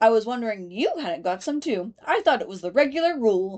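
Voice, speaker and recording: Putting on a character voice, a woman speaks fairly quickly at a fairly high pitch. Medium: read story. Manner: prim, severe.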